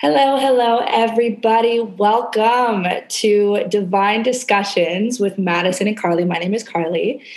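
With a Canadian accent, the speaker moves at a moderate pace with hardly any pauses and ordinary pitch variation, against noticeable background noise. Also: woman, fairly high pitch for a woman. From Canada. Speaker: podcast host, wellness coach. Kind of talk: casual chat; scripted narration.

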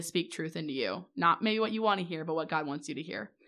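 A plain, everyday voice from a woman with an American accent, fairly low pitch and ordinary pitch variation. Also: very clean recording, silent background. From US Midwest. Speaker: podcast host. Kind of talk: casual chat.

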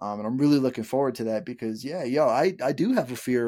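A man is speaking at a medium pitch. His tone is slightly mellow.

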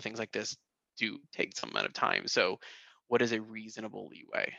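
Loud and with a bright, sharp tone, a man speaks at a medium pitch and a fairly quick pace, the sound dry and close with no echo against a quiet background. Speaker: assistant professor. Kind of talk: casual chat. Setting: video call. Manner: halting.

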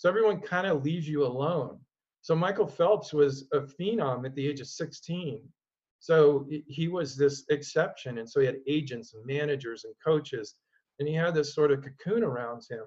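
A man with an American accent, somewhat breathy and fairly high-pitched, at a moderate pace with ordinary pitch variation. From Oregon, US. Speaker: mental performance coach and former pro swimmer. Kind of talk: interview conversation.

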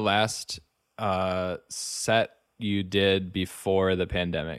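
A man with an American accent is heard in a very clean recording with a silent background. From US Midwest, rural Wisconsin. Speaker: podcast host. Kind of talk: casual interview.

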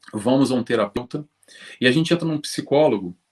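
Fairly quick speech in a Brazilian accent, with a dry, close sound and no echo. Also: man. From Brazil, Rio de Janeiro. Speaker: spiritist speaker on psychology. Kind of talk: interview.

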